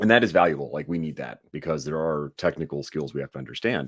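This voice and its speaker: A man with an American accent talks very fast in a very deep, low pitch with vocal fry. The recording is very clean, the background silent. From New York City area, summers in Vancouver. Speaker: online course instructor. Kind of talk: casual interview chat.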